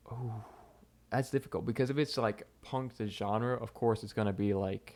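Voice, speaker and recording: A man with a Southern US accent at a moderate pace, with fairly even intonation. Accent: southern twang. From US South, Mississippi. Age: 20s. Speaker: content creator. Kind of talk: live stream Q&A. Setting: live stream. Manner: casual, rambling with fillers.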